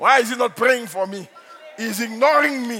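Noticeable background noise beneath a man's raised, projecting voice. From Nigeria. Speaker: pastor. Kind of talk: sermon. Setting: church.

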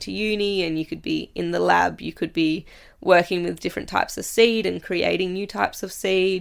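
Someone with an Australian accent speaks at a moderate pace on a very clean recording with a silent background. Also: woman. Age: 20s. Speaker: farmer and riding instructor. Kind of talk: casual interview chat. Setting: studio.

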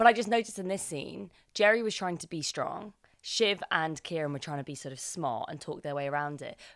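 In a plain, everyday voice, a woman talks at a fairly quick pace with a fairly low pitch, lively intonation and big swings in loudness, in a very clean recording with a silent background. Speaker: podcast host. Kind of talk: casual chat reviewing a TV episode.

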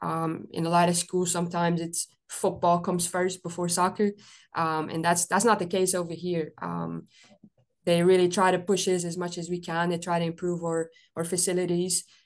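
Against a quiet background, a woman talks at a moderate pace in a fairly low pitch with monotone, flat intonation. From Belgium. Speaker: college soccer coach. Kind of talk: interview. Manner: hesitant, many fillers.

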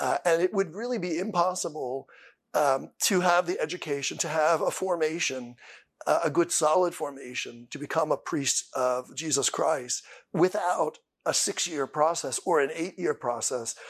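A man with an American accent talks in a normal speaking voice at a fairly high pitch, moving at a moderate pace with ordinary pitch variation. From US, Pennsylvania. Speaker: deacon and seminarian. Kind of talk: interview testimony.

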